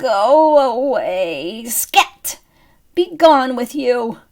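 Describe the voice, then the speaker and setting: Putting on a character voice, a woman speaks at a very slow pace in a high, creaky pitch with lively intonation. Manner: shooing.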